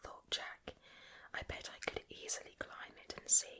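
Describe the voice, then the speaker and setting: A woman whispers at a fairly slow pace amid noticeable background noise. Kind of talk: ASMR bedtime story reading. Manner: whispered, soft, slow.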